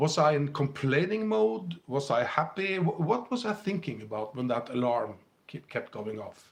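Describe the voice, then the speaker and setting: With a Scandinavian accent, a man speaks at a moderate pace, his pitch swinging very widely. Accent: Scandinavian, heard by a viewer as British. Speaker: spiritual teacher and livestream host. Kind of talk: live stream talk to viewers.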